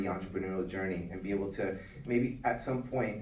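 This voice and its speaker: Speech comes at a very fast pace in a Spanish accent, with fairly even intonation. Audible room echo surrounds the voice. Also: man. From Latin America, Spanish-speaking. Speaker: business owner, food service consultant. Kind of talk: award acceptance speech.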